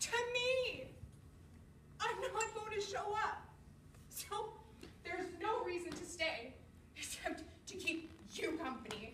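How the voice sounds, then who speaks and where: A woman speaks amid light background noise, with room echo clearly audible. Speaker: actor rehearsing a monologue. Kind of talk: dramatic monologue performance. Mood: emotional, weary, resigned. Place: empty room. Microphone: camera far.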